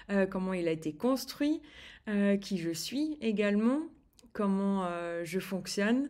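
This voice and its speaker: A woman at a medium pitch talks very slowly, her intonation lively. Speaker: eating behaviour coach. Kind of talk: online course video. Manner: slow, soft-spoken; halting, many hesitations.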